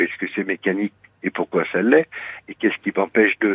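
A man talks at a moderate pace in a fairly low pitch. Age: 60s. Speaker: radio caller. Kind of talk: personal confession on call-in radio. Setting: phone call. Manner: halting, hesitant.

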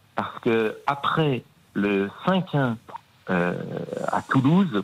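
Over noticeable background noise, a man of medium pitch speaks with very wide pitch swings. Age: 50s. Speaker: Nantes fan, radio contributor. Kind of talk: emotional testimony.

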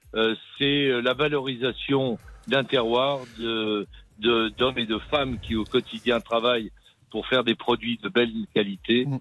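Music plays in the background behind a man of medium pitch. He speaks fairly slowly with fairly even intonation. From Berry, central France. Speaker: restaurant chef. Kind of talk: radio interview.

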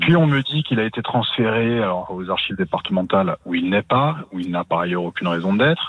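Over noticeable background noise, a man speaks fairly quickly with hardly any pauses, his pitch fairly low and his intonation lively. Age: 40s. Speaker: journalist and author. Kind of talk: interview.

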